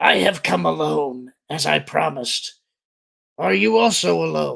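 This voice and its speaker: Putting on a gravelly character voice, a man speaks at a fairly slow pace with a medium pitch. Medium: read story. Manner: terse, formal.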